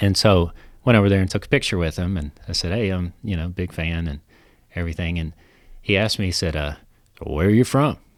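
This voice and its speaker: With a Kentucky accent and a very deep, low pitch, a man talks at a fairly quick pace with long, frequent pauses on a very clean recording with a silent background. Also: ordinary pitch variation. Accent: Kentucky country. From central Kentucky. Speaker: legal marketing consultant. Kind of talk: casual chat. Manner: hesitant, many fillers.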